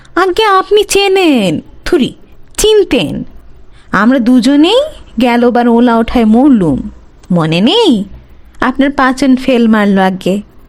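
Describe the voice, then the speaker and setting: A woman puts on a nasal character voice, high in pitch with very wide pitch swings. She speaks at a fairly slow pace. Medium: read story. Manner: polite, hesitant, self-correcting.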